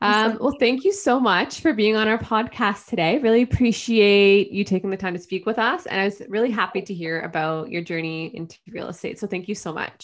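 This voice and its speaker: With a quiet background, a woman speaks in an unremarkable speaking voice at a medium pitch with ordinary pitch variation. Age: young. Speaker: podcast host. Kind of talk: interview.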